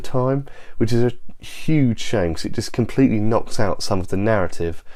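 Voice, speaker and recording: Noticeable background noise sits behind a man who talks at a moderate pace with ordinary pitch variation. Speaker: movie reviewer. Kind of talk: casual movie review to camera.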